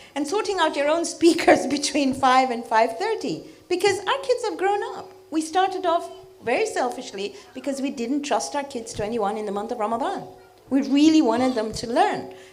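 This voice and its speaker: A woman's high-pitched voice with very wide pitch swings, noticeable background noise and audible room echo. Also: moderate pace. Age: 60s. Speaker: religious teacher. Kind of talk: religious talk to youth audience. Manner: animated.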